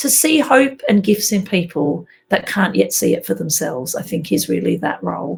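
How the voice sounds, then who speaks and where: At a moderate pace, a woman talks with an Australian accent. She leaves hardly any pauses. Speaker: minister. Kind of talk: interview answer.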